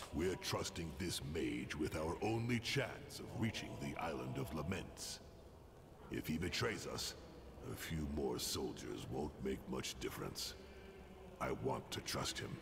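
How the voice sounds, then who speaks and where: A man in a put-on character voice amid loud background noise. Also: fairly slow pace. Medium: game stream. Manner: gruff, terse.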